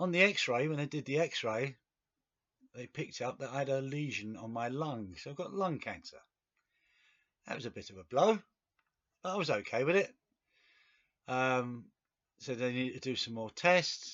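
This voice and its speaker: This man has an English accent, a medium pitch and lively intonation at a moderate pace. His loudness swings widely, and he leaves long, frequent pauses. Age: 60s. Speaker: video blogger with cancer. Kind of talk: personal video diary. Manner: hesitant, with fillers.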